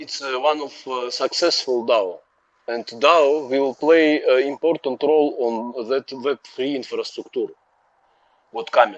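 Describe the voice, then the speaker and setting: A man's fairly high voice with a non-native accent, fairly slow, in a dry, close sound with no echo. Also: fairly even intonation. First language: not English. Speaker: community member. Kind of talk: casual chat. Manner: halting, many fillers.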